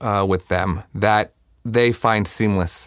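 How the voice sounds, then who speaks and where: A man speaks in an ordinary speaking voice with a fairly low pitch. His pitch varies in an ordinary way. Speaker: music programming director. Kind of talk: interview conversation.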